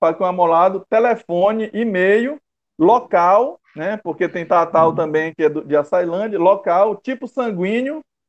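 A man talks at a fairly slow pace in a high voice. His pitch moves with ordinary variation. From Brazil, interior of Maranhão. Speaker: bushcraft group leader. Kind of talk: casual interview chat. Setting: video call live stream. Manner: halting, many fillers.

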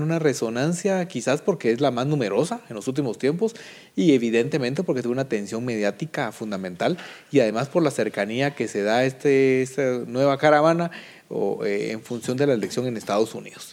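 In a plain, everyday voice, a man speaks fairly quickly at a medium pitch with lively intonation. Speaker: political analyst. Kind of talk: panel debate.

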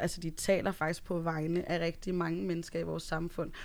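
A woman with a fairly low pitch speaks in a monotone, flat way. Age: 20s. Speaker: podcast panelist. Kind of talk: casual chat. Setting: studio.

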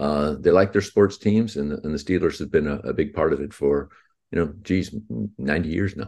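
Very deep and low in pitch, a man's voice shows vocal fry and ordinary pitch variation at a fairly quick pace. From Texas, Houston. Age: 50s. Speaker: author and musician. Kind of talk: interview.

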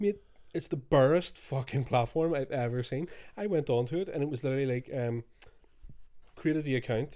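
A man's fairly high voice with a Scottish accent, dark and mellow in tone, at a fairly quick pace with long, frequent pauses and ordinary pitch variation. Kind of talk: casual banter podcast. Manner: joking, profane, rambling.

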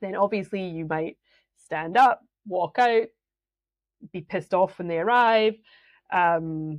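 With a slight Scottish accent, a woman speaks at a fairly low pitch and a moderate pace. Her pitch shows ordinary variation. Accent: Scottish, fairly mild. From Scotland. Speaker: business mentor and coach. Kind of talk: solo podcast talk, educational.

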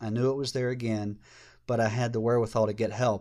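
Talking very fast, a man keeps a medium pitch with monotone, flat intonation. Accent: Southern US. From US South, Georgia. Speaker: former children's minister. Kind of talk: casual interview.

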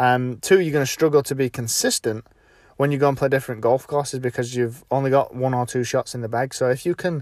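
A man's medium-pitched voice with a British accent, dry and close with no echo, in a very clean recording with a silent background. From UK. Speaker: golf instructor and podcast host. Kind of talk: solo podcast tutorial. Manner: casual with frequent fillers.

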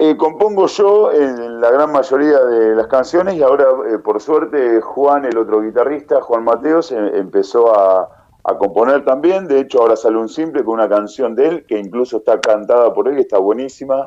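Speaking at a moderate pace, a man of medium pitch uses lively intonation. He leaves hardly any pauses. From Argentina, Tandil. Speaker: rock band leader and singer. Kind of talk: interview.

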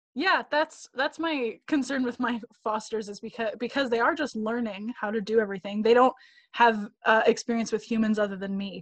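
A woman with a Canadian accent and an unremarkable speaking voice talks at a moderate pace and a fairly high pitch, with ordinary pitch variation, in a dry, close sound with no echo. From Canada. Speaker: actor. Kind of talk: casual chat. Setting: video call.

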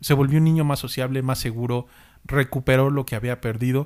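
A man is speaking. His pace is very fast. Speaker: podcast co-host. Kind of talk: casual chat.

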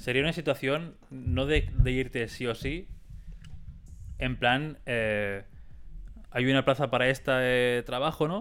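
Speaking very slowly, a man leaves long, frequent pauses. His pitch is medium, with ordinary variation. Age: 20s. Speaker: podcast co-host and musician. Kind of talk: casual chat.

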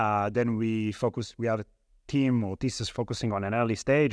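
A man with an Israeli accent speaks at fairly low pitch. His pace is moderate, over a quiet background. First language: Hebrew. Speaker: venture capital investor. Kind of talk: interview.

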